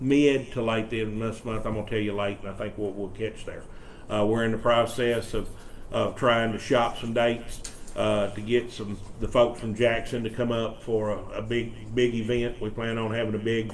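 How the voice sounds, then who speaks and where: With a Mississippi accent, a man talks in a monotone, flat intonation, with audible room echo. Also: medium pitch for a man, moderate pace. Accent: US Southern (Mississippi). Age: 60s. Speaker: economic development official. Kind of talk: presentation to a county board. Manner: halting, many fillers and repeats.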